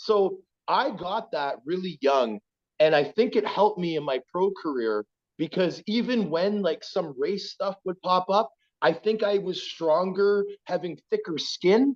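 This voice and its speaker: This man talks at a fairly slow pace with a high pitch and lively intonation, in an Ontario accent. The sound is dry and close, with no echo. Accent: Canadian (Ontario). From Ontario, Scarborough (Toronto). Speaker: former pro hockey player. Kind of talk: casual interview. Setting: podcast.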